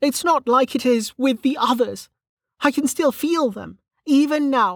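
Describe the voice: A woman does a put-on character voice, high-pitched with vocal fry and lively intonation, at a fairly slow pace. The recording is very clean, with a silent background and a dry, close sound with no echo.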